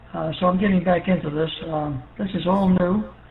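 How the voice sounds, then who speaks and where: Noticeable background noise sits behind a man with an American accent who speaks at a high pitch with ordinary pitch variation. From New York City. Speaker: ham radio operator, Air Force veteran. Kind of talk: radio net check-in chat. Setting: ham radio via repeater.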